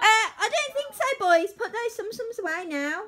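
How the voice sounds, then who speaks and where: A woman's raised, projected voice at a moderate pace. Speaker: family vlogger. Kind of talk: casual vlog chat. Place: home room. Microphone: phone near.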